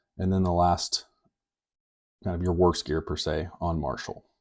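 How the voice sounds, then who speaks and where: Somewhat breathy, the man's voice carries a dark, mellow tone. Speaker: video game guide creator. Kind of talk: tutorial. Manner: casual with many fillers.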